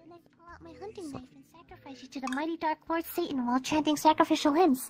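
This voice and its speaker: The voice is high-pitched and moves at a very fast pace. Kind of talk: comic overacting. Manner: ranting, melodramatic.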